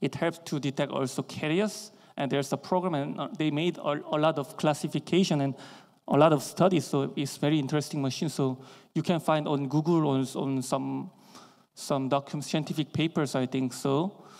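On a very clean recording with a silent background, a man speaks at a moderate pace in a fairly high pitch with fairly even intonation. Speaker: dentist and educator. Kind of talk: lecture. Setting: stage with audience. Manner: halting.

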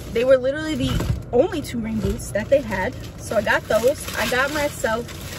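A woman speaks over noticeable background noise, her voice dry with no echo. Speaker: vlogger. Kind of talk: casual vlog chat. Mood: relaxed, chatty. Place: car. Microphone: phone near.

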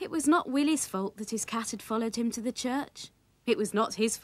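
An unforced reading voice runs with ordinary pitch variation.

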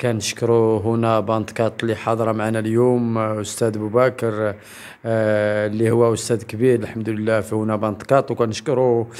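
A man's voice at a moderate pace, with monotone, flat intonation. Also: medium pitch for a man, hardly any pauses. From Morocco. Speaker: human rights association member; interviewee. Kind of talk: public statement. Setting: event in Agadir. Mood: earnest, complaining about lack of support. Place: home room. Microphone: handheld.

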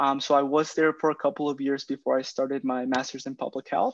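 A man speaks in a fairly high pitch. The sound is dry with no echo, and the background is quiet. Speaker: program project manager; presenter. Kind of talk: webinar Q&A. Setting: video call. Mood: friendly, informative. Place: home room. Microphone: video call.

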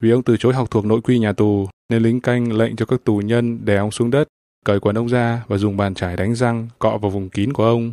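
In a very clean recording with a silent background and a dry, close sound with no echo, a man speaks in a serious tone at a moderate pace with medium pitch, monotone, flat intonation, very even loudness and hardly any pauses. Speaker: news radio presenter. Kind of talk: formal news bulletin reading. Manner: formal, steady, even newsreader delivery; serious, measured pace.

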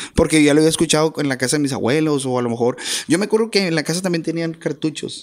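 Against a quiet background, a man with a fairly high voice speaks very fast, his pitch varying in an ordinary way. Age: 40s. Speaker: accordionist, musician; podcast guest. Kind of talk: interview. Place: studio. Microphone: studio mic.

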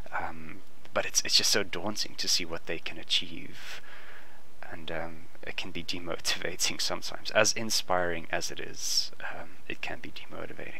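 Whispering at a moderate pace, the speaker is heard over noticeable background noise. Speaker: artist. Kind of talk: casual sketching talk to camera. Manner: whispered.

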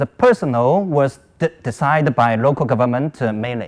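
A man with a Chinese accent speaks at a moderate pace. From China. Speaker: academic conference presenter; conference presenter. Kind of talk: conference presentation. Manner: halting, many fillers. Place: hall.

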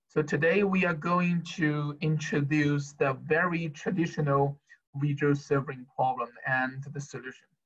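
A man talks at a fairly slow pace in a somewhat breathy voice. His intonation stays fairly even. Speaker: university lecturer. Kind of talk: lecture. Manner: halting, many fillers.

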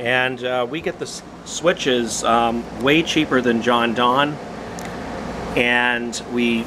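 A man speaks. Noticeable background noise can be heard. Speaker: parts seller demonstrating equipment. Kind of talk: tutorial. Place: street. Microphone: phone near.

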